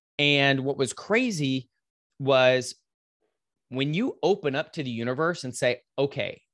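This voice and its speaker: Here a man speaks with a Texan accent in a fairly high pitch, with ordinary pitch variation. The sound is dry and close, with no echo. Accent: Texan American. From West Texas, Lubbock. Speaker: fitness coach. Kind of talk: interview storytelling. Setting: remote call.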